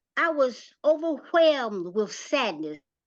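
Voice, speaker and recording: Someone with a North Carolina accent speaks at a very slow pace with lively intonation over a quiet background. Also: woman. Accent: Southern US (North Carolina). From US South, rural North Carolina. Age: 70s. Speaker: community playwright and former nonprofit director. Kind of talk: prepared testimony talk.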